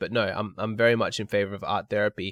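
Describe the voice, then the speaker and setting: A man talks at a very fast clip in a fairly low voice. The sound is dry and close with no echo, and his intonation stays fairly even. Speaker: relationship advice youtuber. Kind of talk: reading and answering viewer email. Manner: casual, off the cuff.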